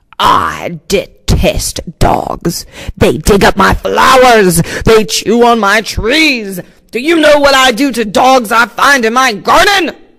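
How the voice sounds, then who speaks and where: A man puts on a growling character voice at an extremely high pitch. He talks at a fairly slow pace. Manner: menacing, intimidating.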